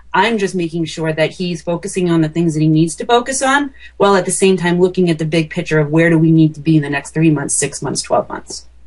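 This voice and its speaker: With an American accent, a woman has an unremarkable speaking voice, fairly low in pitch with ordinary pitch variation. She speaks at a fairly quick pace. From small-town US. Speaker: marketing consultant. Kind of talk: interview podcast.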